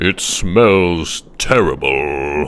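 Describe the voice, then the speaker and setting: A man puts on a cartoonish character voice with a very deep, low pitch. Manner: exclamatory, posh.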